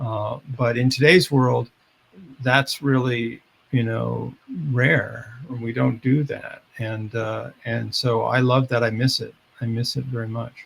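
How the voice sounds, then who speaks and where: A somewhat breathy man with an American accent, medium in pitch, very slow in pace and monotone, flat in intonation. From US Midwest, Chicago suburbs. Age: 70s. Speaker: behavioral scientist and author. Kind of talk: podcast interview.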